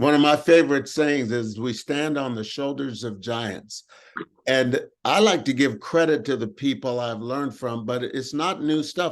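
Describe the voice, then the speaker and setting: A man speaks in a normal speaking voice, fairly high in pitch, at a moderate pace with ordinary pitch variation. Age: 60s. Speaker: motivational speaker, workshop host. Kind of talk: group talk on affirmations and prosperity.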